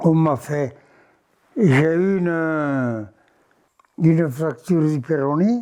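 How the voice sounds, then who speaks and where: The voice has a dark, mellow tone. It moves at a very slow pace with long, frequent pauses. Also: man, fairly high pitch for a man, ordinary pitch variation. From Gers, southwest France. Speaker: former rugby player; former farmer. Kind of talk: interview answer, life story. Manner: casual, conversational.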